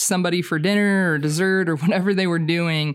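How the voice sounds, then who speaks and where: A woman with an American accent uses a plain, everyday voice, with fairly low pitch and fairly even intonation. She speaks at a moderate pace on a very clean recording with a silent background. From Oklahoma. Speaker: camp ministry teacher and songwriter. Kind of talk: podcast interview.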